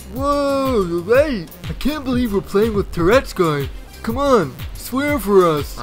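A man talks at a fairly slow pace in a high pitch, with very wide pitch swings. Clear music plays in the background. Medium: machinima. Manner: excited, pushy.

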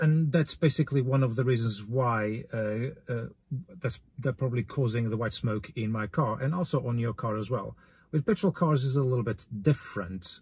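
Ordinary pitch variation in a man's voice that is somewhat breathy. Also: moderate pace. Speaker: car DIY vlogger. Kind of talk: tutorial. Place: car.

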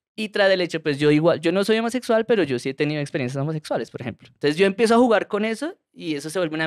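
A man rattles along at a very fast pace in a high pitch, his intonation lively. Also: quiet background. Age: 30s. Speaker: comedian. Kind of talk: casual chat. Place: studio. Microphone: studio mic.

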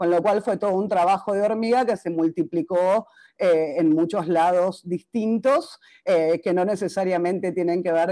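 A woman's fairly low voice, dark and mellow in tone, at a moderate pace with ordinary pitch variation against a quiet background. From Argentina. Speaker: psychologist; presenter, speaker. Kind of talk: conference talk. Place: home room. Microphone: webcam.

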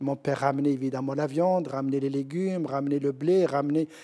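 This man's tone is dark and mellow, and the background is quiet. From Morocco, southeast (Gourama, High Atlas); Morocco. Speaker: professor and researcher; professor. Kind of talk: TV interview. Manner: halting. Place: studio. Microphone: lapel.

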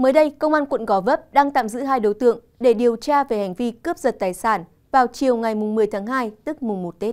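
A plain, everyday voice from a woman, fairly high-pitched, at a fairly quick pace with ordinary pitch variation. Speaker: news presenter. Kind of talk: news reading. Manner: formal.

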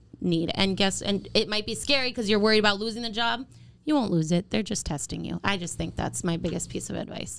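A woman talks at a very fast pace with lively intonation and a medium pitch. Vocal fry runs through her voice. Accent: American. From Minnesota. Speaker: radio personality. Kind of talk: casual chat.

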